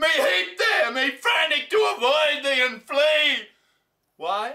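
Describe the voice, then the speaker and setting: At a very slow pace, a man speaks in a raised, projected voice. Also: quiet background. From Australia. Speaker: poetry reciter. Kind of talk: poetry reading. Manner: loud, forceful. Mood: anguished, intense. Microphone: camera far.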